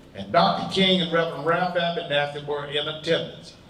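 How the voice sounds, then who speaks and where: A man with a fairly high pitch is speaking. Noticeable background noise and audible room echo are present. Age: 80s+. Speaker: civil rights veteran. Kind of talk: testimony.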